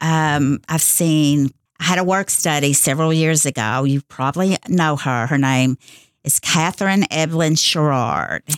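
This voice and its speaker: In a very clean recording with a silent background, a woman speaks with a very deep, low pitch and a Kentucky accent. Her pace is fairly slow, her pitch variation ordinary, her loudness very even, and the sound dry and close with no echo. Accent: western Kentucky Southern US. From Kentucky, Owensboro area. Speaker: college administrative assistant. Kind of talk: radio interview.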